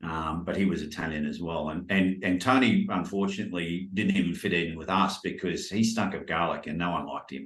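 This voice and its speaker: A man speaks with a very deep, low pitch and ordinary pitch variation, hardly pausing at all. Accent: strong Australian. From Australia, Brisbane. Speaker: life coach. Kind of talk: casual chat.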